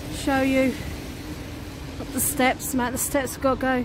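Noticeable background noise sits behind a woman talking at a moderate pace. The sound is dry, with no echo. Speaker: vlogger. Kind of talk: casual vlog chat. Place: waterside. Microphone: phone near.

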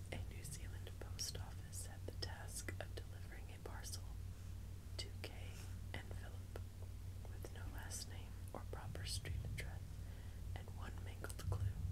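A woman's speech, broken by long, frequent pauses, against loud background noise. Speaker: ASMR creator. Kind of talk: whispered reading aloud, ASMR magazine reading. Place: home room.

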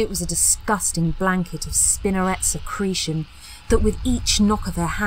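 This is an unforced reading voice. It is the only trait noted here.

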